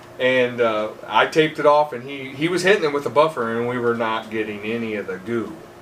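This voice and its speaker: With an American accent, a man talks at a fairly quick pace in a medium pitch with ordinary pitch variation and hardly any pauses, over noticeable background noise. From northeast Indiana, US Midwest. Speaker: truck driver and part-time polisher. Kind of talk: casual chat.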